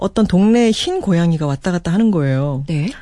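A woman's fairly low, dark, mellow voice with very wide pitch swings. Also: quiet background. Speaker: author guest. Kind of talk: casual radio chat. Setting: radio studio.

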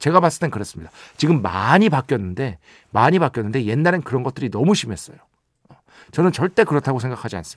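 A man talks at a very fast pace with vocal fry and very wide pitch swings, on a very clean recording with a silent background. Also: medium pitch for a man. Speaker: radio host and music writer. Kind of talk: radio show monologue. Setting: radio studio. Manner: casual, conversational.

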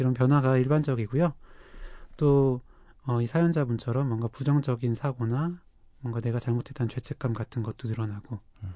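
A man with a medium pitch speaks at a fairly quick pace, somewhat breathy and dark, mellow in tone. His intonation is fairly even, broken by long, frequent pauses. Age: young. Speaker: psychiatrist podcast co-host. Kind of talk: casual chat.

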